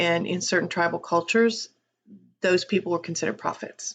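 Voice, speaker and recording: With an American accent, a woman talks using ordinary pitch variation. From US South, Appalachia. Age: 60s. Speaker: channel host, psychic and tarot reader. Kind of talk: casual introductory vlog monologue. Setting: home office.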